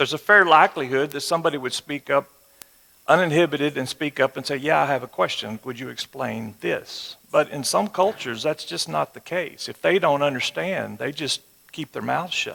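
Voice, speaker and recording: A man speaks at a moderate pace in a fairly high, bright, sharp voice with vocal fry and ordinary pitch variation. The sound is dry and close with no echo, and the loudness swings a lot. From West Texas. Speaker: church teacher. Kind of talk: sermon. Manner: conversational.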